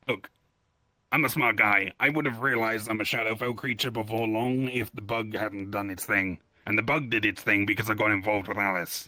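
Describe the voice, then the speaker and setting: Recorded very cleanly against a silent background, a raspy put-on character voice moves at a fairly quick pace. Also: man, medium pitch for a man. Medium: actual play. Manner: self-deprecating, deflecting.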